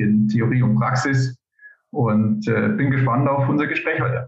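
Intonation stays fairly level as this man talks. His pitch sits in the medium range. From Upper Palatinate, Bavaria, Germany. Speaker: civil engineer and postdoctoral researcher. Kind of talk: interview. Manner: hesitant, many filler sounds.

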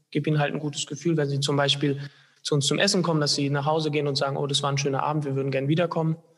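Very fast speech in a monotone, flat intonation. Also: man. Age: 20s. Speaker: hotel trainee. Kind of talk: interview.

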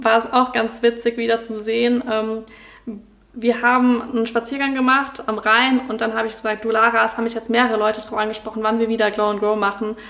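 Over noticeable background noise, a woman speaks at a fairly high pitch in a monotone, flat intonation. Her pace is fairly quick, with hardly any pauses. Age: 20s. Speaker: graphic designer and student. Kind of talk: casual interview.

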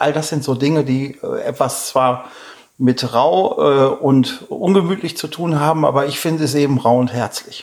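A man's fairly high pitch, with ordinary pitch variation and a fairly slow pace. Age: 50s. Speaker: mudflat hiking guide, former navy airman. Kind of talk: interview. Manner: hesitant, many filler sounds.

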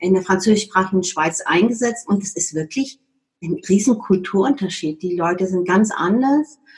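With a medium pitch and ordinary pitch variation, a woman talks at a moderate pace. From Germany. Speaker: HR consultant. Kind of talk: interview.

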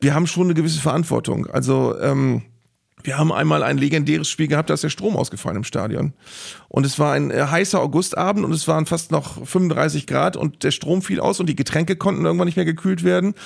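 A man at a fairly quick pace and very even loudness. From northern Germany, Bremen. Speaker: sports broadcaster and stadium announcer. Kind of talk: casual chat.

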